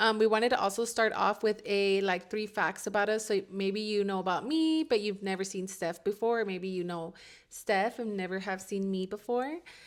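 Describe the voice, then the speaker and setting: This is a normal speaking voice with an American accent and ordinary pitch variation. The pace is moderate, with hardly any pauses. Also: woman, medium pitch for a woman. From Southeast Los Angeles. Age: 20s. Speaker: content creator and coffee cart owner. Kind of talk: casual chat.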